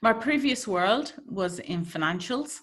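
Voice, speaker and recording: Here a woman speaks with an Irish accent. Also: very clean recording, silent background. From Ireland. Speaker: healthcare change management consultant. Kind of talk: presentation talk.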